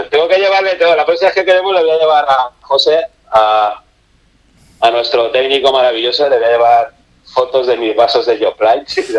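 Using a normal speaking voice, a man talks at a moderate pace. His pitch is fairly high and his intonation lively. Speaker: book section contributor. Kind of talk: casual chat. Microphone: phone line with echo.

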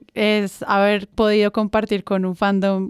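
A woman's medium-pitched voice, dry and close with no echo. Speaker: podcast host. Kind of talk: casual chat.

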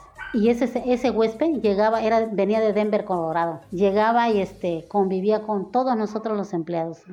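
Against noticeable background noise, a woman with a fairly high-pitched voice speaks at a moderate pace with hardly any pauses and ordinary pitch variation. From Mexico, Acapulco, Guerrero. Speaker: hotel worker recounting city's founding years. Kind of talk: interview. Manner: halting.

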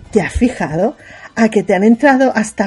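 Somewhat breathy speech at a fairly quick pace with ordinary pitch variation. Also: woman. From Catalonia (Sabadell). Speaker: podcast co-host. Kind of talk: casual chat.

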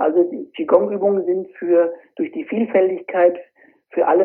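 A high-pitched male voice talks at a fairly slow pace. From Germany, Fulda area (Hesse). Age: 40s. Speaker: qigong instructor. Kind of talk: interview. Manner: hesitant, frequent filler sounds.

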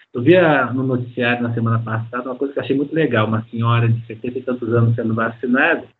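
A man's voice with music in the background. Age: 50s. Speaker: science teacher and planetarium director. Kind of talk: interview.

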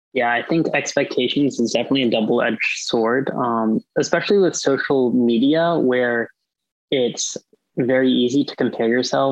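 At a moderate pace, a man talks with fairly even intonation in a medium pitch. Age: 20s. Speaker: college student. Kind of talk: casual chat.

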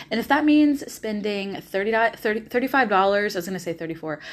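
In a very clean recording with a silent background, a woman with a Southern US accent speaks with lively intonation and an animated tone. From US South, Nashville, Tennessee. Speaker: podcast host and life coach. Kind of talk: solo monologue podcast.

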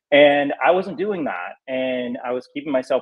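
A man with an American accent has an ordinary speaking voice, with ordinary pitch variation at a moderate pace. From North Carolina. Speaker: real estate agent. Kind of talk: interview. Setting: call.

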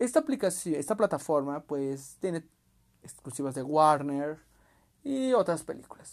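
Speaking at a fairly slow pace, a man uses lively intonation in a fairly high pitch. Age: 20s. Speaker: podcast host and youtuber. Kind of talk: casual monologue. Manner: halting.

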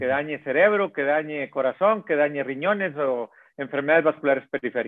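Using a normal speaking voice, a man with a fairly high pitch talks at a fairly quick pace with ordinary pitch variation. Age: 50s. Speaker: cardiologist. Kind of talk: interview.

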